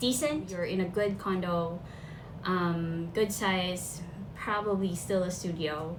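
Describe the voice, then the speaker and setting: With a Filipino accent, a woman speaks at a very slow pace and medium pitch, with ordinary pitch variation, very even loudness and audible room echo. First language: Filipino language. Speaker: vlogger. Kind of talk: casual talk to camera. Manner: casual, chatty.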